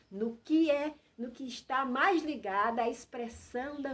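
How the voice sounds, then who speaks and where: This woman's voice is high, with lively intonation. She talks at a very slow pace. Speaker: health and wellness channel host. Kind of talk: informal talk to camera. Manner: hesitant, repeating words.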